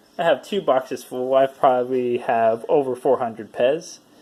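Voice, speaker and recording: A man with an American accent, medium in pitch, at a moderate pace, over noticeable background noise. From Lubbock, Texas; raised partly in Europe. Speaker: restaurant prep manager. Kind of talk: casual talk to camera.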